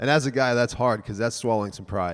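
In a plain, everyday voice, a man talks at a medium pitch, his intonation fairly even. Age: 30s. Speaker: church member preparing for mission work. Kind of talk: church talk.

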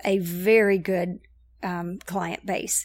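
Over a silent background in a very clean recording, a woman speaks at a very slow pace. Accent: American. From Knoxville, Tennessee (US South). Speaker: church connections director. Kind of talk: casual interview.

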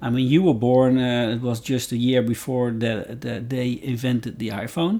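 At a moderate pace, a man with a Dutch accent speaks at a medium pitch with fairly even intonation. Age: 50s. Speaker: podcast guest, host's father. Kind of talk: casual chat. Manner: halting.

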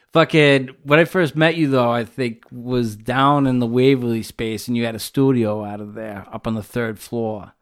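An unremarkable speaking voice with an American accent, moderate in pace with hardly any pauses, ordinary pitch variation and big swings in loudness, on a very clean recording with a silent background. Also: man, medium pitch for a man. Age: 30s. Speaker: podcast host. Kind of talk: casual chat. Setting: home studio.

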